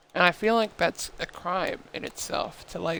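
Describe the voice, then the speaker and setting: Fairly even in intonation, a man speaks at a high pitch and a moderate pace. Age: 20s. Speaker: gaming streamer. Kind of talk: casual live-stream chat while gaming. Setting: live stream.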